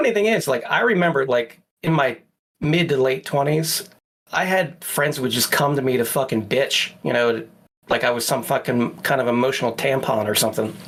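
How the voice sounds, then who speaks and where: With an unremarkable speaking voice, a man talks at a fairly quick pace and at a medium pitch. His intonation is lively while his loudness stays very even. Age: 40s. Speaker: podcast co-host. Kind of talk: casual chat.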